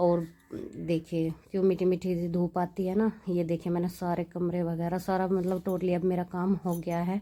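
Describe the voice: A woman speaks at a moderate pace with few pauses. Her dark, mellow tone stays at a fairly low pitch with little pitch movement.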